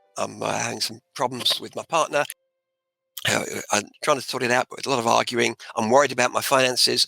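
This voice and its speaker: Music plays in the background as a man with an Australian accent speaks at a fairly quick pace. The sound is dry and close with no echo. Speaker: author and motivational speaker. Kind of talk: interview answer.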